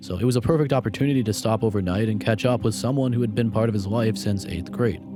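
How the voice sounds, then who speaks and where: Music plays in the background as a man speaks very fast. His fairly low voice has lively intonation. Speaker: true crime narrator. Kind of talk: documentary narration.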